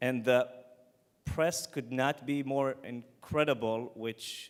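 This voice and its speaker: A man at medium pitch with an Israeli accent, in a very clean recording with a silent background. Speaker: startup founder. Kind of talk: pitch presentation.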